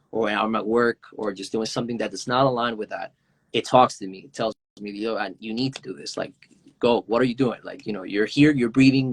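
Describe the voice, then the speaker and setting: A man's medium-pitched voice with a Spanish accent, fairly quick pace and fairly even intonation. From Venezuela. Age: 20s. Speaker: indie hip-hop artist. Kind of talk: interview. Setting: Instagram Live video call. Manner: halting, many fillers.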